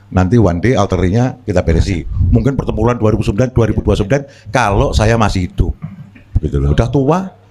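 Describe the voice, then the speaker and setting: Over noticeable background noise, a man speaks at a very fast pace and fairly low pitch, with lively intonation and very even loudness. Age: 60s. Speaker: politician. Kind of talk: talk show discussion.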